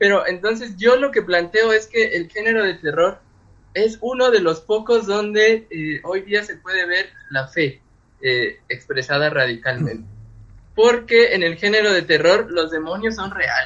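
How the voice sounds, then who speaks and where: A man's high voice with lively intonation. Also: fairly slow pace. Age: 30s. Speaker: literature doctoral student and author. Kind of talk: casual chat.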